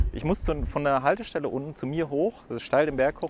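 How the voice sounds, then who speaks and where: Music plays behind a man who speaks fairly quickly at a fairly high pitch. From Würzburg, Franconia. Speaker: podcast host. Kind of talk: interview. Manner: hasty.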